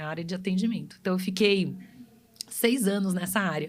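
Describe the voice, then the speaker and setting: A somewhat breathy woman's voice at medium pitch, with ordinary pitch variation, a fairly quick pace and audible room echo. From Brazil, Pará and Goiânia. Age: 40s. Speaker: customer experience specialist. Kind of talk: podcast interview.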